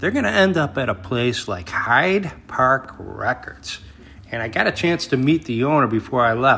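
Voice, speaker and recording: Amid noticeable background noise, a man with an American accent talks at a medium pitch, making very wide pitch swings. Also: moderate pace. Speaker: record collector vlogger. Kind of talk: casual vlog narration. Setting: record store.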